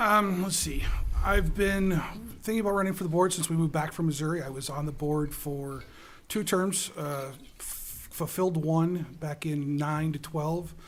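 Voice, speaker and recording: A man speaks with a Wisconsin accent at a fairly high pitch, with ordinary pitch variation. Room echo is audible. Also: moderate pace. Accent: Upper Midwest (Wisconsin). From Wisconsin (Dodgeville). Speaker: school board candidate. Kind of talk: candidate forum statement.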